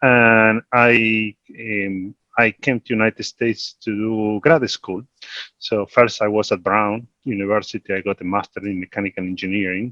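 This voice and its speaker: Speaking with an Argentine accent, a man uses a fairly low pitch and fairly even intonation, his tone bright and sharp, the sound dry and close with no echo. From Argentina. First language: Spanish. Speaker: investment executive. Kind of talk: panel discussion.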